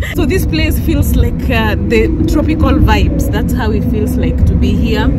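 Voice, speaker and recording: Loud background noise fills the clip. A woman speaks at a moderate pace. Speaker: travel vlogger. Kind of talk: casual vlog chat. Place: car. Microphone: phone near.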